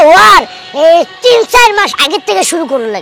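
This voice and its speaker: Someone performs a put-on character voice at a moderate pace. Music plays in the background. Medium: comedy sketch. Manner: rustic, persuasive.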